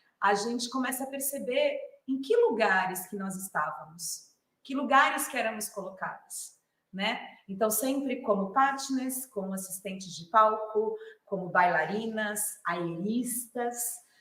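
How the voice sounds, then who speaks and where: A woman speaks fairly slowly in a fairly high voice with ordinary pitch variation. Her loudness swings widely, and there is audible room echo. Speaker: clown and theatre artist. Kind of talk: lecture.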